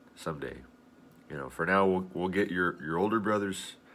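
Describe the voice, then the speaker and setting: Over a silent background in a very clean recording, a man speaks with a bright, sharp tone and vocal fry. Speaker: video blogger. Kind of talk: casual video blog monologue.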